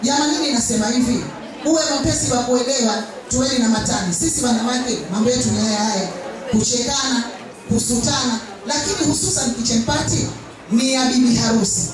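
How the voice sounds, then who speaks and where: A woman speaks at a moderate pace with ordinary pitch variation. Strong room echo and noticeable background noise surround her voice. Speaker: bridal instructor at kitchen party. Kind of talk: speech to audience. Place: hall.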